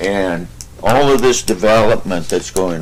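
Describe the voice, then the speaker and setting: With vocal fry and a fairly low pitch, a man talks at a fairly slow pace. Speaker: local landowner, public commenter. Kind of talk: public comment. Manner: loud.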